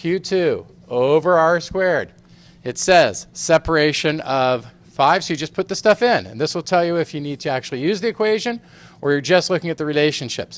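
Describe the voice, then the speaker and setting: A man talks in a plain, everyday voice, fairly high in pitch with ordinary pitch variation. His pace is fairly quick on a very clean recording with a silent background. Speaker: physics teacher. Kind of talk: recorded lesson review. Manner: casual, playful.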